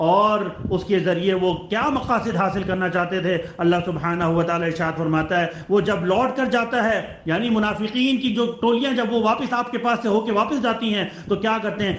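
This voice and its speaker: Over noticeable background noise, a man talks with a high pitch, ordinary pitch variation and very even loudness. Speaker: Islamic preacher delivering a Friday sermon. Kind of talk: religious sermon.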